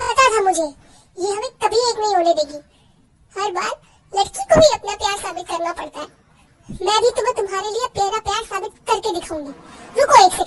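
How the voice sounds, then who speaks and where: In a put-on character voice, a woman with an extremely high pitch speaks at a moderate pace, with ordinary pitch variation, big swings in loudness and long, frequent pauses. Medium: audio drama. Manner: dramatic, emotional.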